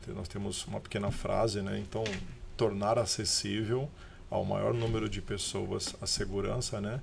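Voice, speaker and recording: A man speaks in a São Paulo accent. His voice carries audible room echo amid noticeable background noise. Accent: paulista. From Brazil, São Paulo. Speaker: business owner. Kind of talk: podcast interview.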